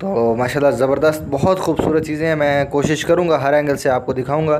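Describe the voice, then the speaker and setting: A man talks at a moderate pace with fairly even intonation. Light background noise sits behind him. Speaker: livestock market vlogger. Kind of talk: casual vlog commentary. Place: market. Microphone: phone near.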